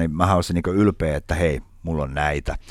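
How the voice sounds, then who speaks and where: Very deep, low male voice at a moderate pace, on a very clean recording with a silent background. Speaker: chef. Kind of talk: casual chat.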